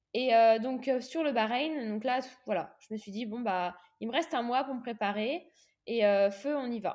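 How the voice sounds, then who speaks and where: Against a quiet background, a woman talks at a moderate pace. Her pitch is fairly high, with ordinary pitch variation. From Réunion. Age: 20s. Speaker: professional triathlete. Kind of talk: interview testimony. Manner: halting, frequent repetitions and fillers.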